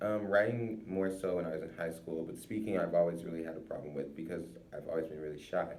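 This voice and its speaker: Audible room echo carries a man's very deep, low voice as he talks at a very fast pace. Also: ordinary pitch variation. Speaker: college student. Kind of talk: informal recorded monologue. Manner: halting; slurred and quiet when not paying attention.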